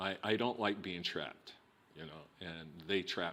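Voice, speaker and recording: A man speaks with a New Mexico accent on a very clean recording with a silent background. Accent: New Mexico, which he calls a non-. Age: 60s. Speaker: filmmaker. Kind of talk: oral history interview. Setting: recorded interview. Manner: halting, many repetitions.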